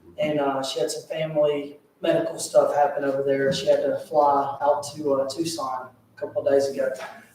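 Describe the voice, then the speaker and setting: Noticeable background noise behind a fairly quick-paced male speaker. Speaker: political candidate. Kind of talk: campaign speech. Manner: soft-spoken.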